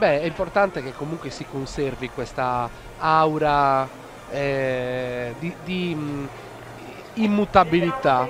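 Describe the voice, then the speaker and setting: A man with a Swiss German accent and a fairly high pitch talks at a very slow pace with long, frequent pauses, big swings in loudness and ordinary pitch variation over noticeable background noise. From Switzerland, near Zurich. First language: Swiss German (speaking Italian). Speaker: live event commentator. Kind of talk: live commentary.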